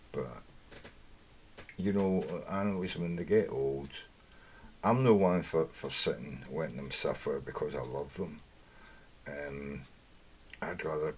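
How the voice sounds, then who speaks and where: Speaking at a fairly slow pace with long, frequent pauses, a man uses a very deep, low pitch, ordinary pitch variation and vocal fry. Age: 50s. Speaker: live streamer. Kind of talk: casual rant. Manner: animated.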